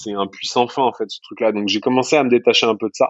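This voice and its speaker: Moderate pace and ordinary pitch variation from an unremarkable speaking voice. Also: man. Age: 30s. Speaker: entrepreneur. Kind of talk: podcast interview.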